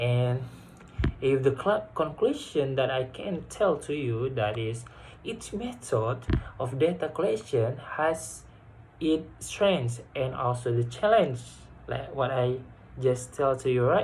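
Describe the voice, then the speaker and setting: Very slow male speech broken by long, frequent pauses. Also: medium pitch for a man, ordinary pitch variation. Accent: Indonesian. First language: Indonesian. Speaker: university student. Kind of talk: class presentation. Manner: halting.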